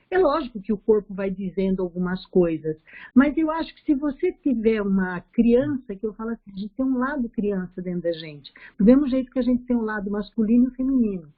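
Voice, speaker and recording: Using a normal speaking voice, a woman talks at a fairly quick pace with lively intonation and fairly high pitch. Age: 60s. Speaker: study group participant. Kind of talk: casual chat.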